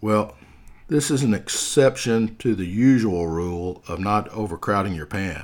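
A man's fairly low voice at a fairly slow pace, with ordinary pitch variation. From US South. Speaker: podcast host. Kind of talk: scripted narration with humorous asides. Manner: humorous, casual.

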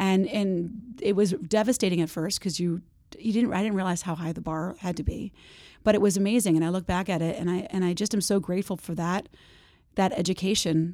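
A woman's medium-pitched, dark, mellow voice with an American accent on a very clean recording against a silent background. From New Jersey, rural. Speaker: advertising agency creative director. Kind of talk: interview conversation. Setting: studio. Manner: halting, many fillers.

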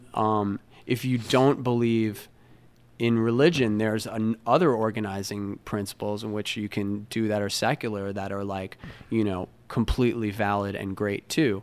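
This man has an American accent and a fairly low pitch. He talks at a moderate pace with fairly even intonation. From New York. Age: 50s. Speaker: musician. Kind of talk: casual chat. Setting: studio. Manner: halting.

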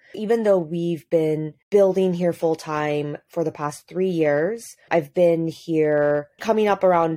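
Speaking at a very slow pace with hardly any pauses, a woman uses a fairly low pitch, a dark, mellow tone and ordinary pitch variation. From Hong Kong. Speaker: social enterprise founder. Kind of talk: interview. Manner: casual, frequent 'like' fillers.

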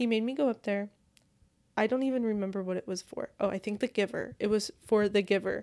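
A woman with a dark, mellow tone and fairly high pitch talks at a fairly quick pace with fairly even intonation on a very clean recording with a silent background. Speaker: podcast host; nanny. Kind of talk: solo casual monologue. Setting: home, recording in bed. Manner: chatty, rambling.

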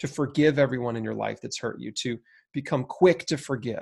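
A man talks at a fairly quick pace with a fairly high pitch and ordinary pitch variation. He has a plain, everyday voice, and the recording is very clean with a silent background. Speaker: cancer survivor and health author. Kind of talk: interview.

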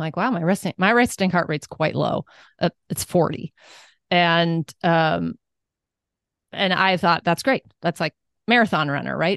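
Against a quiet background, the voice shows vocal fry, a fairly slow pace, long and frequent pauses and ordinary pitch variation, captured with a dry, close sound and no echo. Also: woman, fairly low pitch for a woman. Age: 50s. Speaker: wellness coach and entrepreneur. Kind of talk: interview conversation.

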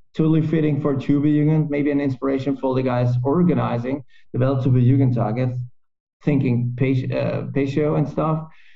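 A man's fairly high, somewhat breathy voice at a moderate pace, with fairly even intonation. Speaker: podcast host. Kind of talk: casual interview. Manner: halting.

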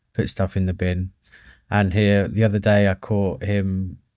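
A man's fairly low, dark and mellow voice with an English accent, monotone and flat in intonation. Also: very clean recording, silent background. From England. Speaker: podcast co-host, father. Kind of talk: casual chat.

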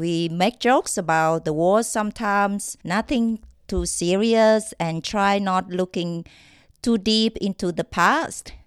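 Delivered at a very slow pace with ordinary pitch variation and a Vietnamese accent, the voice has a dry, close sound with no echo on a very clean recording with a silent background. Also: woman. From Vietnam, Quang Ngai. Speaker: podcast co-host. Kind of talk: casual chat.

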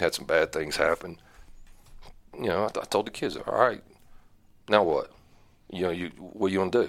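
With a North Carolina accent, a man speaks at a moderate pace, leaving long, frequent pauses. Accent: Southern US (North Carolina). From North Carolina Piedmont, Iredell/Catawba County. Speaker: high school football coach. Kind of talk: interview.

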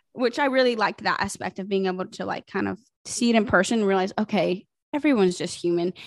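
A woman with an American accent and a medium-pitched voice, very fast speech, ordinary pitch variation, a quiet background and dry, close sound with no echo. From US South, South Carolina (Greenville). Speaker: social media influencer. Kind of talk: casual chat. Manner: animated.

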